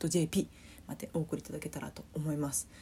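Soft-spoken, the voice moves along at a fairly quick pace. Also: woman. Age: 20s. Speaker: podcast host. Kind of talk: casual solo talk.

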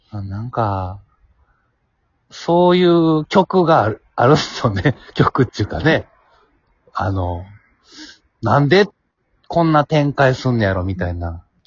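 Speaking in a Kansai accent at a fairly slow pace, a man with a medium-pitched, somewhat breathy voice makes very wide pitch swings and leaves long, frequent pauses. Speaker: podcast host. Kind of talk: casual chat.

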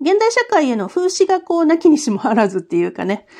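A woman is speaking. Her pitch swings very widely. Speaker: podcaster reviewing escape games. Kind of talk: casual solo talk.

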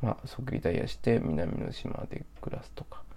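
Whispering, a man speaks at a moderate pace. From Japan, Osaka. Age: 30s. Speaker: podcaster. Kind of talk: solo casual monologue.

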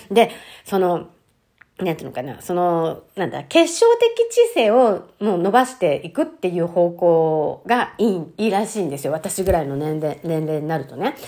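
Her tone is dark and mellow, with a medium pitch and lively intonation. The woman talks at a moderate pace with big swings in loudness. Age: 50s. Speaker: podcast host. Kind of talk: casual monologue. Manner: chatty with frequent fillers.

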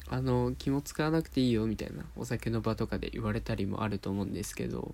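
A soft-spoken man talks. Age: 20s. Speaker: podcast host. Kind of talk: casual monologue. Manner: soft, sleep-inducing.

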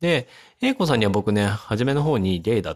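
The pitch swings very widely while the speech keeps a moderate pace. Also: man, dry, close sound with no echo. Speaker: podcaster and medical researcher. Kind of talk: solo casual talk.

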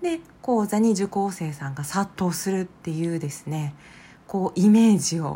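A woman with a dark, mellow tone and a somewhat breathy, fairly low voice speaks at a fairly slow pace with ordinary pitch variation. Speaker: psychological counselor and podcast host. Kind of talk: solo podcast monologue.

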